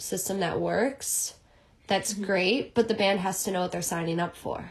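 A woman's normal speaking voice with an American accent, medium pitch, fairly even intonation and a moderate pace. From Chicago. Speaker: music agent assistant and former band manager. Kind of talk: interview.

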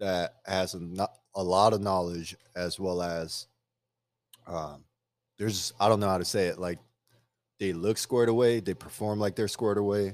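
A man with an American accent and a fairly low pitch speaks at a moderate pace with long, frequent pauses, in a very clean recording with a silent background. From outside the US. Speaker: podcast co-host. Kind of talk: casual chat. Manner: loud. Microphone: new microphone.

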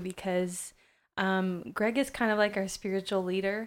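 A woman with a plain, everyday voice speaks at a moderate pace and medium pitch with fairly even intonation on a very clean recording with a silent background. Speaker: co-host, school teacher. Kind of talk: casual chat.

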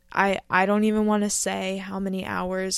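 A woman talks at a moderate pace with an American accent, her pitch medium and her intonation flat and monotone. The recording is very clean, with a silent background. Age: 20s. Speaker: podcaster. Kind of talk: solo monologue podcast. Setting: recording at home in bed.

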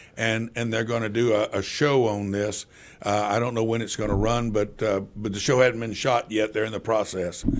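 A man speaks in a medium pitch. His intonation is monotone and flat. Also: moderate pace. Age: 60s. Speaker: city council member. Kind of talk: radio interview. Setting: radio studio. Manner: halting, many repetitions and fillers; passionate.

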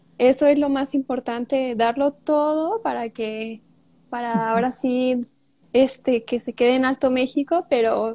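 A woman speaks with a high pitch and a dark, mellow tone. Her intonation is fairly even, and the sound is dry and close with no echo. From Mexico, Michoacán. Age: 20s. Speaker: beauty pageant queen. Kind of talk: interview.

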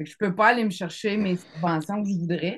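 A somewhat breathy woman's voice at medium pitch, with lively intonation. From Quebec City. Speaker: music publishing student. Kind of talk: casual chat.

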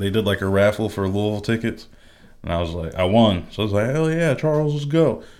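A man with an ordinary speaking voice talks fairly quickly at a medium pitch, his intonation lively. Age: 20s. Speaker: video game podcast co-host. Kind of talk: casual chat.

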